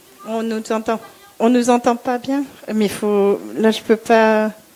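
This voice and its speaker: Noticeable background noise sits under this clip. The woman's speech is very slow. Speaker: color consultant and interior design teacher. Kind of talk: panel discussion.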